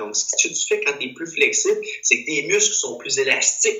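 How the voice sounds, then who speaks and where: The man speaks at a moderate pace. Noticeable background noise runs underneath. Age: 20s. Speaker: physical education teacher. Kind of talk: casual chat.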